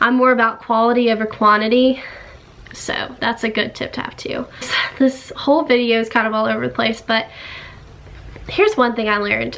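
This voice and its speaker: Through noticeable background noise, a woman with an American accent talks at a fairly high pitch, leaving long, frequent pauses. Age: young. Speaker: YouTuber. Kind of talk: casual talk to camera. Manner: upbeat.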